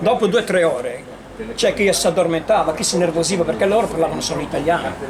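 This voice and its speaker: With noticeable background noise, a man talks at a very fast pace in a high pitch with ordinary pitch variation. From Sardinia. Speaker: self-taught Chinese dialect interpreter. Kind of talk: interview answer. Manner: casual storytelling.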